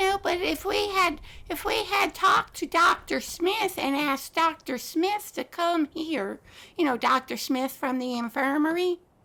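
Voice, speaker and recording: Using a put-on character voice, a woman talks at a moderate pace, squeaky and extremely high in pitch, with lively intonation. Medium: machinima. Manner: earnest, slightly rambling.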